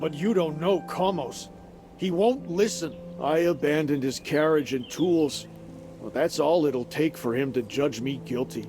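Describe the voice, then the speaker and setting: A man's whiny, put-on character voice at a fairly high pitch and moderate pace, with lively intonation and clear music in the background. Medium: video game. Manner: whiny, frightened.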